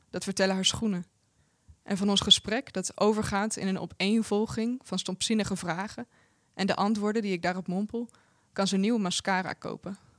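A woman speaks with a Dutch accent in a monotone, flat intonation. The sound is dry and close, with no echo. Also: medium pitch for a woman. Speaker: translator reading Dutch translation. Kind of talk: reading aloud.

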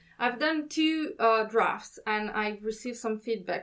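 With an Italian accent, a woman talks at a fairly slow pace in a fairly high pitch, with ordinary pitch variation. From Italy. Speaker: writer. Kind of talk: interview conversation.

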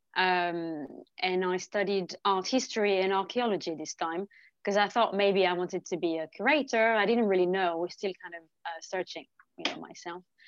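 A woman speaks in a French accent at medium pitch with ordinary pitch variation. The sound is dry and close with no echo, and her loudness swings widely. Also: moderate pace. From France, Lyon. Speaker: painter. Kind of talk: interview.

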